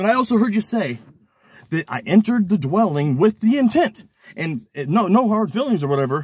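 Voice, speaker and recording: With very wide pitch swings and a fairly quick pace, a man talks in a high voice over a dry, close sound with no echo. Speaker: criminal defendant recording his lawyer. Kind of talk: heated meeting with attorney. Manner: animated; rapid.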